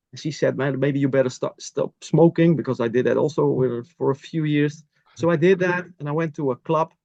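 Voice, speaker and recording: A man with a Dutch accent talks at a fairly quick pace, with fairly high pitch and fairly even intonation. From Netherlands. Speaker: masters athlete. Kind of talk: interview. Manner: halting.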